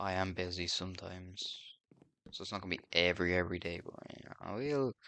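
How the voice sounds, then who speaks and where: Against a quiet background, a man speaks with an Irish accent. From Ireland. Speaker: gaming streamer. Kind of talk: casual gameplay commentary. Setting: home sitting room. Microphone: poor audio in sitting room.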